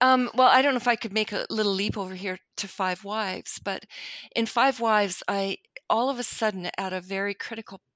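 In a Canadian accent, a woman speaks at a moderate pace with ordinary pitch variation and a plain, everyday voice. The background is quiet, and the sound is dry and close with no echo. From Canada. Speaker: novelist. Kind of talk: interview.

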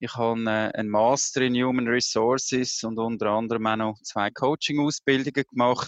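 A man at a medium pitch with monotone, flat intonation and a moderate pace, in a dry, close sound with no echo and a quiet background. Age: 50s. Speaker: HR executive and burnout prevention coach. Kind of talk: interview. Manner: hesitant, many filler sounds.

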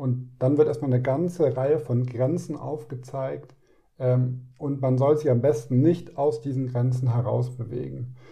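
This man has a dark, mellow, somewhat breathy voice at medium pitch, speaking at a fairly slow pace. His intonation is fairly even, and audible room echo surrounds him. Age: 30s. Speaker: heart transplant recipient. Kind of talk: interview.

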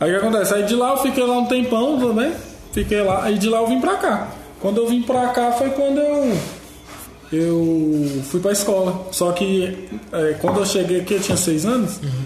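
Amid audible room echo and noticeable background noise, a man with a high pitch talks at a moderate pace, his intonation lively and his loudness very even. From Brazil, Federal District (Planaltina). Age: 20s. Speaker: podcast production crew member. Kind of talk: casual chat.

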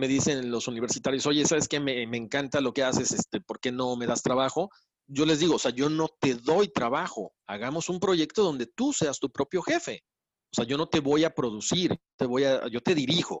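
A man's fairly high voice holds a moderate tempo, with ordinary variation in pitch. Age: 40s. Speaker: radio host and podcast producer. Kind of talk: interview conversation. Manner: halting with repetitions.

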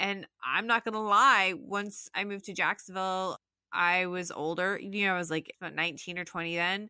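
A woman with a western US accent, bright and sharp in tone at a medium pitch, at a moderate pace, in a dry, close sound with no echo. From Utah, Salt Lake City. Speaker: software engineer. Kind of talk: interview.

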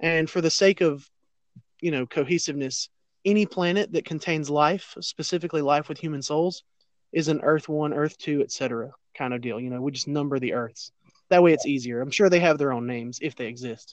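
In an ordinary speaking voice, a man with a fairly high pitch talks at a fairly quick pace with ordinary pitch variation, recorded dry and close with no echo against a quiet background. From US South. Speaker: podcast guest. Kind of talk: casual chat.

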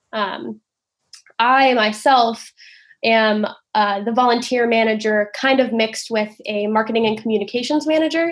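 In an American accent, a woman with a normal speaking voice talks at a moderate pace, her pitch fairly high and her intonation fairly even. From Oakland, California. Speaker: nonprofit outreach manager. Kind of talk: casual interview.

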